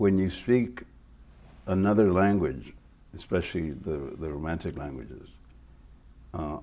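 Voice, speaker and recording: A man with a Spanish accent speaks in a very deep, low, dark and mellow voice, with lively intonation and big swings in loudness. He leaves long, frequent pauses, and room echo is audible. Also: fairly slow pace. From Mexico, raised in El Paso, Texas. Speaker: retired TV news reporter. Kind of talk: interview.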